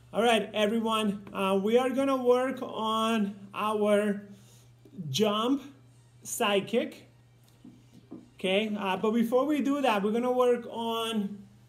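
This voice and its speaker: A man with a high pitch speaks at a very slow pace with long, frequent pauses and fairly even intonation, faint music in the background. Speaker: martial arts instructor. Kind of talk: instruction and coaching for an online class. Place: home room. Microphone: camera far.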